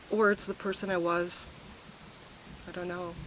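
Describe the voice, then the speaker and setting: Against noticeable background noise, a woman with an American accent speaks at a medium pitch and fairly slow pace in a monotone, flat way. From US Midwest, Chicago area. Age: 40s. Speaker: retreat participant, high school teacher. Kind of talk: testimonial interview. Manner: hesitant, filler-heavy.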